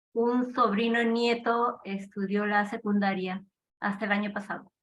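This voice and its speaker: At a fairly slow pace, a woman speaks in a monotone, flat intonation at a medium pitch. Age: 60s. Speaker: parish volunteer. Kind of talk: self-introduction in video call.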